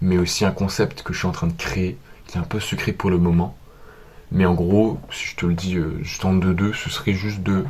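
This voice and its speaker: A man's very deep, low voice at a moderate pace, monotone and flat, over noticeable background noise. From France. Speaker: vlogger. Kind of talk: vlog monologue.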